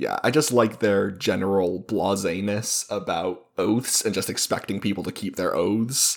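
A man with a plain, everyday voice speaks fairly slowly at a fairly low pitch, with ordinary pitch variation and hardly any pauses. The recording is very clean, with a silent background. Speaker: podcast co-host and editor. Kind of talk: casual chat about a book.

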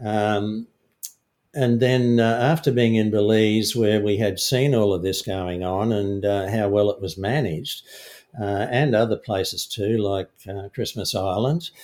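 With an Australian accent, a man talks at a fairly slow pace in a fairly low voice with ordinary pitch variation. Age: 60s. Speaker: fishing guide and filmmaker. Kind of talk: casual interview.

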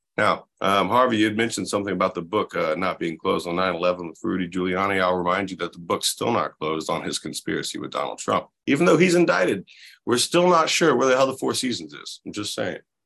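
A man with an American accent speaks at a very fast pace. The background is quiet. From US South, Florida Panhandle. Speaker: labor organizer. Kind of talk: casual chat. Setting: video call.

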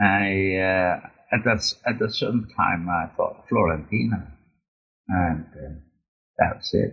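A man with a Dutch accent speaks at a very slow pace, with long, frequent pauses. His loudness stays very even, and his pitch variation is ordinary. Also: fairly low pitch for a man. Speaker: long-distance motorcyclist and author. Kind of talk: interview. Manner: halting.

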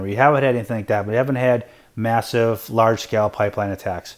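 This man's voice sits at a medium pitch, and his intonation is monotone and flat. The recording is very clean, with a silent background. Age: 50s. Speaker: investing podcast host. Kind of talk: solo podcast answering listener questions. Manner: hesitant with many fillers.

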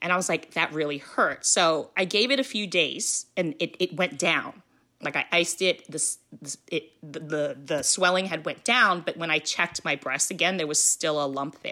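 A woman with a plain, everyday voice talks at a moderate pace and a fairly low pitch. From US, Filipino immigrant family. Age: 40s. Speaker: cancer survivor and art teacher. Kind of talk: personal testimony in interview.

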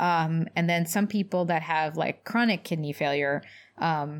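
A woman with an American accent speaks in an ordinary speaking voice, fairly low in pitch, at a moderate pace, on a very clean recording with a silent background. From US South, Louisville, Kentucky. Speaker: doctor, podcast co-host. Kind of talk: casual chat.

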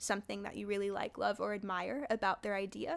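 On a very clean recording with a silent background, a woman with a Californian accent speaks at medium pitch in a bright, sharp tone. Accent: Californian American. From US West Coast, San Jose, California. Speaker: high school teacher. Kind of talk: casual interview.

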